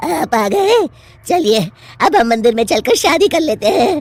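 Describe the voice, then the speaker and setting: A cartoonish character voice cackles at a high pitch with very wide pitch swings. The pace is moderate. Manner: cackling, gloating.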